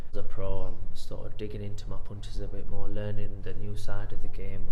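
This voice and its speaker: Room echo can be heard on this clip. The man's delivery is fairly quick. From northern England, Sheffield. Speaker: professional boxer. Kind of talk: interview. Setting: boxing gym. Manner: hesitant, with fillers.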